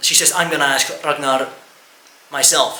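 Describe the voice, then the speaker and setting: With an Estonian accent, a man speaks at a fairly slow pace amid noticeable background noise and audible room echo. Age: 20s. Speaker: YouTuber. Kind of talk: personal testimony. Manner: halting.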